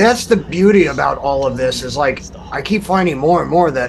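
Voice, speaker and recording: A quiet, mumbling man with a fairly high pitch and lively intonation at a moderate pace, amid audible room echo and noticeable background noise. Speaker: podcast guest discussing music. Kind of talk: casual chat.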